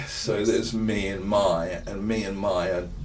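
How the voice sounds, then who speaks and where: The speech moves at a moderate pace. Noticeable background noise and audible room echo fill the recording. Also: man. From Perth, Western Australia. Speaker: dramaturg and playwright. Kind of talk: casual interview. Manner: halting, many fillers.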